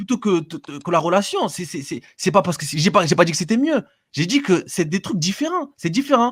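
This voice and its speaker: His voice sits high in pitch, with lively intonation. The man's loudness swings widely. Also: very clean recording, silent background. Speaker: live stream caller. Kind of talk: heated debate. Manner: fast, stammering.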